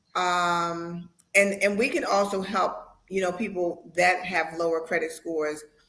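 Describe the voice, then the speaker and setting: A woman with a bright, sharp tone, fairly even intonation and a fairly slow pace, in audible room echo. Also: fairly low pitch for a woman. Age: 60s. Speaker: real estate agent. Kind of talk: interview.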